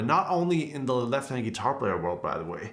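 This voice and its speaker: The voice has a German accent. Audible room echo surrounds it. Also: man. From Germany. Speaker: guitarist and guitar teacher. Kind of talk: live stream Q&A. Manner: casual, conversational.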